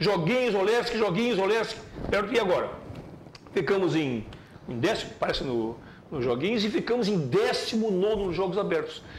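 A man with a high pitch talks at a moderate pace in an animated tone with lively intonation, leaving long, frequent pauses over light background noise. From Joinville, Santa Catarina, Brazil. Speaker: sports commentator. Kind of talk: opinionated sports commentary. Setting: TV studio. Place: studio.

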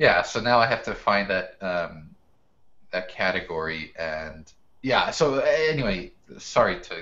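With an American accent, the voice has a bright, sharp tone, very wide pitch swings, and a fairly slow pace. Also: man, fairly low pitch for a man. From US Northeast, Brooklyn, New York; New York. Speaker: professional photographer and educator; podcast guest. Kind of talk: casual interview. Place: home room. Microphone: video call.

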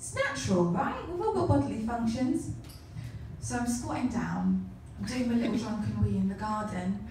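At a moderate pace, a woman speaks with audible room echo and light background noise. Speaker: comedian. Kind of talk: first-time stand-up set: crude self-deprecating anecdotes told to a club audience. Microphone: camera far.

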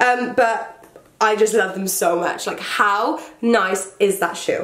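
A woman speaks in a British accent. Noticeable background noise can be heard. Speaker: fashion YouTuber. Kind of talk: casual vlog talk. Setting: home, indoors with rain outside. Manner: animated.

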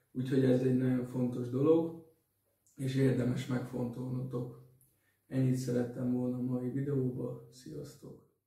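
A man at a fairly slow pace with monotone, flat intonation, audible room echo and a quiet background. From Hungary. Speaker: dating advice vlogger; vlogger giving dating tips. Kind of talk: solo vlog talk. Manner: halting, many fillers and repetitions. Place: home room. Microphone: camera far.

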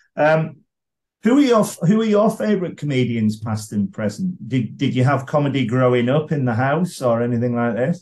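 Over a quiet background, a man speaks at a moderate pace in a somewhat breathy voice that swings very widely in pitch. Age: 50s. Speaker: podcast host and comedy blogger; podcast host, comedy blogger. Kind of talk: interview. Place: home room. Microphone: video call.

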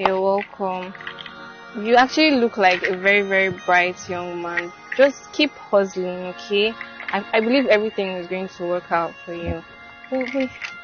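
A woman at a moderate pace with long, frequent pauses, a dry sound with no echo, and clear music in the background. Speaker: actress in a skit. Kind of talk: scripted drama dialogue. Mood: kind, mildly teasing. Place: street.

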